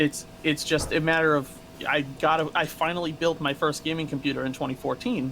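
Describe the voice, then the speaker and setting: A man talks at a fairly quick pace with a fairly high pitch. Noticeable background noise runs underneath. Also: fairly even intonation. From New England, Massachusetts. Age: 30s. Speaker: streamer, former corrections officer. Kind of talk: interview.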